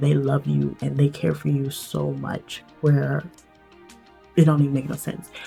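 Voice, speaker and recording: A woman talks at a moderate pace. Behind her, music can be heard. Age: 20s. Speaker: English teacher. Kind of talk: storytime talk to camera. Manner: casual, chatty.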